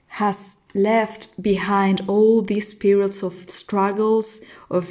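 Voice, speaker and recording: Speaking at a very slow pace with a non-native accent, a woman uses a medium pitch, a dark, mellow tone and monotone, flat intonation. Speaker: tarot reader. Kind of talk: tarot reading. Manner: halting.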